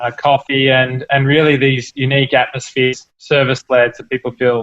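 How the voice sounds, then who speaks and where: At a moderate pace, a man speaks in a medium-pitched voice with monotone, flat intonation. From Australia, Melbourne. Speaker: entrepreneur, cafe company founder. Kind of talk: interview.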